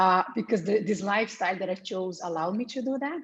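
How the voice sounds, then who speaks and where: A woman with a Portuguese accent, at a fairly quick pace and with ordinary pitch variation. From Brazil. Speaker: digital nomad. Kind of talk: podcast interview.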